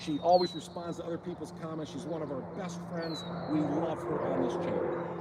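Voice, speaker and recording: Amid noticeable background noise, a man speaks at a fairly quick pace in a high pitch. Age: 50s. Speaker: fishing channel host. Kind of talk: livestream Q&A. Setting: outdoors. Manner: fast; animated.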